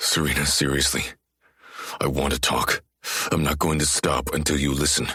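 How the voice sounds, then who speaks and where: Using a put-on character voice, a man growls at a very deep, low pitch and a moderate pace, with long, frequent pauses and very even loudness. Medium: read story.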